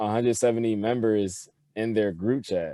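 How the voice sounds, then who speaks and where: Speaking at a fairly slow pace, a man holds a medium pitch in a monotone, flat delivery. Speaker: recent college graduate. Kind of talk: casual interview chat.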